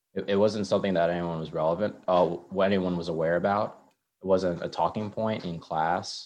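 Against a quiet background, a man speaks at a fairly quick pace in a very deep, low voice. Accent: General American. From Maryland, US East Coast. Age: 20s. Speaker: guest. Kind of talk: casual interview conversation.

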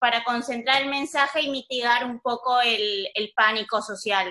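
This voice has a bright, sharp tone and moves at a fairly slow pace. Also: woman. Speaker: audience member. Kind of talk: audience question. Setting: video call.

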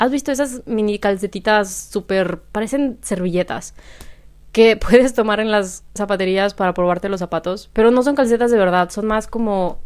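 A woman at medium pitch talks at a moderate pace in an ordinary speaking voice. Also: ordinary pitch variation. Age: 20s. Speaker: podcaster. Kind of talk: solo casual monologue. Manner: laughs often.

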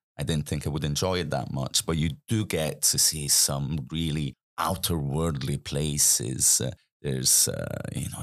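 A man's very deep, low voice with vocal fry at a fairly slow pace, in a very clean recording with a silent background. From Italy, Milan. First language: Italian. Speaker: snorkeling guide and diving instructor. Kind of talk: casual interview chat.

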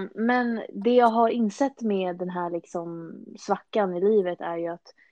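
A normal speaking voice from a woman, medium in pitch, with ordinary pitch variation. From Stockholm, Sweden. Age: 20s. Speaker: fitness enthusiast. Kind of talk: podcast interview.

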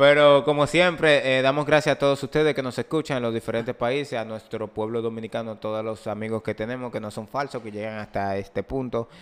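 Speaking very fast with hardly any pauses, a man at a medium pitch shows ordinary pitch variation against noticeable background noise. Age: 20s. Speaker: podcast host. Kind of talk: casual chat. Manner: animated.

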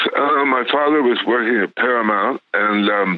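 Noticeable background noise fills the clip. A man is speaking over it. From US West Coast, Los Angeles. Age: 80s+. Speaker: film producer and bamboo rod builder. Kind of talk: interview. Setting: phone call.

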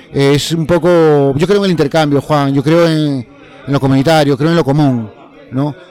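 There is noticeable background noise behind a man speaking at a moderate pace. His voice sits fairly high, with fairly even intonation. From Peru, Lima. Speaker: community theatre artist. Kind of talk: interview testimony. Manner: halting, many fillers.

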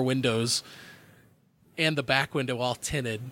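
Words come out at a very fast pace in a dry, close sound with no echo. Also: man. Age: 30s. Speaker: podcast host. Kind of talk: casual chat.

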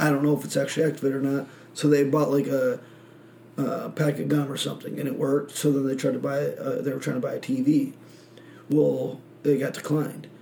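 With an American accent, a man talks at a fairly quick pace and fairly high pitch in monotone, flat intonation, with audible room echo around him. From Michigan, small country town. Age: 20s. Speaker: podcast host. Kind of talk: casual chat.

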